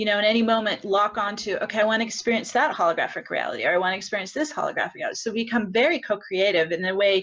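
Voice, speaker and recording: Ordinary pitch variation marks a plain, everyday voice. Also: woman. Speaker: spiritual teacher. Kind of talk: Q&A answer in live spiritual workshop. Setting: live group session with online participants.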